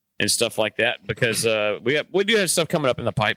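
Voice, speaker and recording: Recorded very cleanly against a silent background, a man's medium-pitched voice has a bright, sharp tone and a dry, close sound with no echo. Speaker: podcast host, monument business owner. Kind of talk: casual chat. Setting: office, recording at his desk. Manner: loud.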